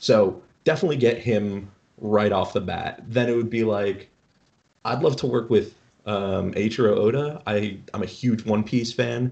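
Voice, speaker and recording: A man with an unremarkable speaking voice talks at medium pitch and a moderate pace, with ordinary pitch variation. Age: 20s. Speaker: streetwear company cofounder. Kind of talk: casual chat.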